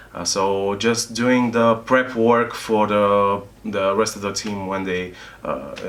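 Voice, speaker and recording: A man with a non-native accent speaks at a very slow pace and a fairly low pitch. His intonation is fairly even, and background noise is noticeable. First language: not English. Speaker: video game tester and trainer. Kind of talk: interview. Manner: halting, many fillers.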